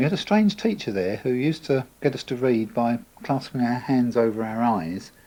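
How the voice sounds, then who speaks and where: Speaking with an Essex accent, a man uses a relaxed, dark, mellow tone at medium pitch, with lively intonation and a moderate pace. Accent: southern English, Essex. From England, Essex (Chelmsford). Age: 50s. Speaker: local resident sharing memories. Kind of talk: oral history interview. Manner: relaxed, conversational with fillers.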